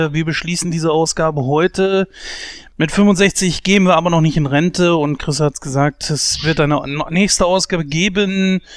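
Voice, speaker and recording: His intonation fairly even, a man speaks at a high pitch. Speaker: podcast co-host. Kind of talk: casual chat.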